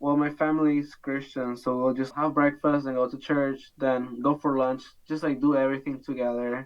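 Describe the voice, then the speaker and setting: The speaker has a Spanish accent. There are hardly any pauses. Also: moderate pace. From Bolivia, Santa Cruz. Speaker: international student. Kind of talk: interview. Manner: casual, frequent fillers.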